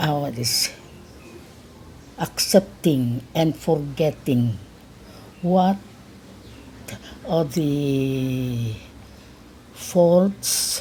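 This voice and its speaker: Against noticeable background noise, a woman with a very deep, low pitch talks very slowly with ordinary pitch variation. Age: 80s+. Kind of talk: interview answer.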